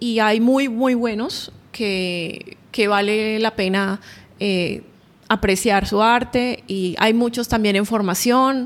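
Over a very clean recording with a silent background, a woman speaks at a very slow pace. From Colombia, Barranquilla (Caribbean coast). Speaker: painter. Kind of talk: interview. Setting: artist's studio.

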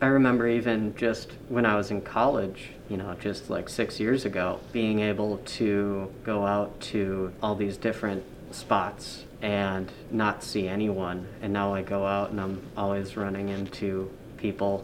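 In an American accent, the speaker talks fairly slowly with monotone, flat intonation and audible room echo. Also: man, fairly low pitch for a man. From Upper Peninsula of Michigan, Marquette. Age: 20s. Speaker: tourism office manager. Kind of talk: interview. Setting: office, wearing mask.

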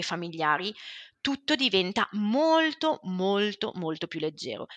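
A woman speaks at a medium pitch with a bright, sharp tone and very wide pitch swings. The sound is dry and close with no echo, over a quiet background. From Switzerland, Ticino. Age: 40s. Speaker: family constellations therapist. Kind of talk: interview.

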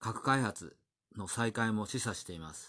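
The speaker has a plain, everyday voice. The background is quiet. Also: man. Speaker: news commentator. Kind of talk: news commentary monologue. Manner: casual with many fillers.

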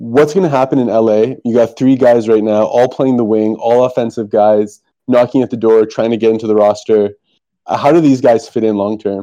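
A man's medium-pitched voice with a dark, mellow tone, fairly even intonation and a moderate pace. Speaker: podcast co-host. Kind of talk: casual podcast interview.

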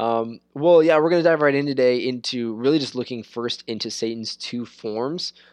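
Over a quiet background, a man speaks at a moderate pace. He has a medium pitch and ordinary pitch variation. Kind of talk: casual chat about scripture. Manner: halting, repeats words.

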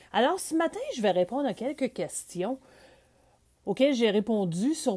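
A woman's dark, mellow voice moves through very wide pitch swings. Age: 50s. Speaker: podcaster. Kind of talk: solo podcast monologue. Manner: conversational.

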